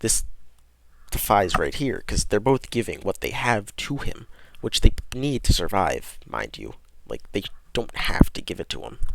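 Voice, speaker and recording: Quiet overall, a man speaks at a moderate pace, his loudness swinging widely between long, frequent pauses. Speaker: podcast host. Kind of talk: reading aloud with casual commentary.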